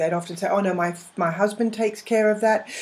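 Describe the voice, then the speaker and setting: Over noticeable background noise, the woman's pitch varies in an ordinary way. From England, London. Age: 50s. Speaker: money coach and former finance broker. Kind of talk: interview. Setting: live interactive internet radio show.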